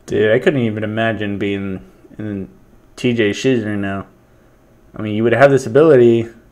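The man speaks at a fairly quick pace, his pitch varying in an ordinary way. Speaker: reaction commentator. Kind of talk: casual reaction commentary. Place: home room. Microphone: webcam.

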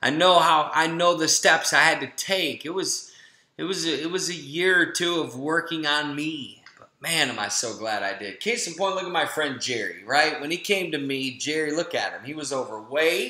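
With hardly any pauses, a man in an American accent talks at a fairly high pitch over noticeable background noise. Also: ordinary pitch variation, moderate pace, big swings in loudness. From Florida. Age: 40s. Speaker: health and family coach. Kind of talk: webinar sales pitch. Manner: animated.

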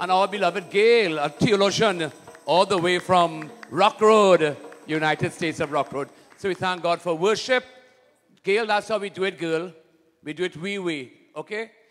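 Music plays behind a man speaking at a moderate pace. His pitch is high, with ordinary variation. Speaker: priest leading Mass. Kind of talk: liturgical greeting and homily-style address. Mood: warm, prayerful. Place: church. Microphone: handheld.

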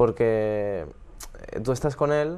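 A man speaks with fairly even intonation. His tone is dark and mellow. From Spain, Alicante (San Vicente); Spain. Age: 20s. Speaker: professional tennis player; guest. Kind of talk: casual interview. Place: studio.

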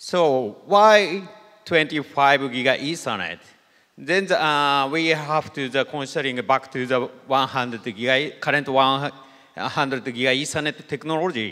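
The speech moves at a very slow pace in a bright, sharp tone against a quiet background. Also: man, fairly high pitch for a man, ordinary pitch variation. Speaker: systems engineer; conference presenter. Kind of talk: conference talk. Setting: stage with audience. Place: hall.

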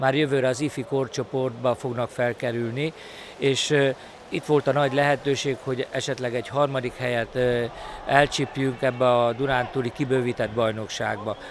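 Over light background noise, a man speaks at a fairly slow pace with fairly even intonation, the sound dry with no echo. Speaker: water polo coach. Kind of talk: interview statement. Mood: critical, matter-of-fact. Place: garden. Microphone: handheld.

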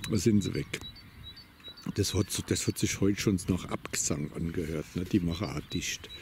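Long, frequent pauses break up a man's very deep, low voice, with a dry sound free of echo and light background noise. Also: ordinary pitch variation, moderate pace. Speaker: vlogger on a walk. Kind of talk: casual monologue while walking. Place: open country.

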